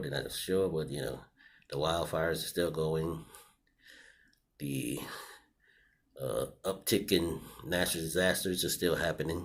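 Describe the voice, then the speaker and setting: A man with a very deep, low pitch and vocal fry talks at a moderate pace with fairly even intonation. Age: 60s. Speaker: vlogger. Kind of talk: personal video commentary. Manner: casual with many fillers.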